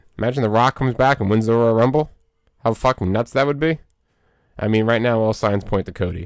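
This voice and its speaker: A man's medium-pitched voice at a very fast pace with very even loudness and long, frequent pauses, in a dry, close sound with no echo against a quiet background. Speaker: podcast co-host. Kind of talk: casual chat. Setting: studio. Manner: monotone.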